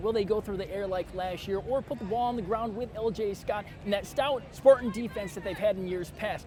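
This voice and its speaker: Over noticeable background noise, a high-pitched man with an American accent sounds upbeat and energetic at a fairly quick pace. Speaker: local sports reporter and show host. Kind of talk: sports anchor / reporter reel. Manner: upbeat, energetic, punny.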